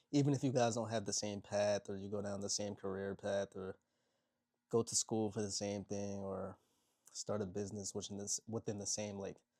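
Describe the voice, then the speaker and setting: A man talks quietly at a moderate pace, his pitch fairly low and his tone dark and mellow, with flat, monotone intonation. The sound is dry and close with no echo, in a very clean recording with a silent background. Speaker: motivational content creator. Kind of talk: casual vlog monologue. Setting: at home, people sleeping next door. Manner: quiet, kept low.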